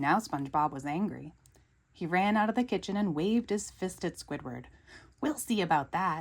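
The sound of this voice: Someone reads in an unforced reading voice, the intonation lively throughout.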